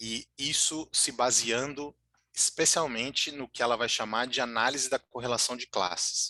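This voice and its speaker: A man's bright, sharp voice at medium pitch, fairly slow pace and fairly even intonation, dry and close with no echo, over a quiet background. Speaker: lecturer on political strategy. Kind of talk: online lecture. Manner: halting, many fillers.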